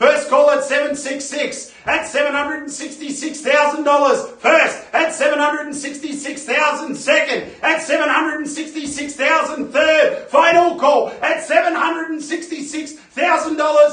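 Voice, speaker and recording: Noticeable background noise runs under speech delivered at a moderate pace with monotone, flat intonation. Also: man, extremely high pitch for a man. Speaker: real estate auctioneer. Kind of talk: live property auction bidding call.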